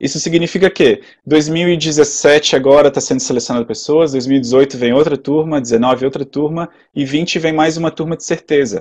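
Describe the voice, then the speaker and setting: In a quiet background, a man with a fairly high pitch talks at a fairly quick pace with ordinary pitch variation. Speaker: webinar presenter. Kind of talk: webinar Q&A. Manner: fast.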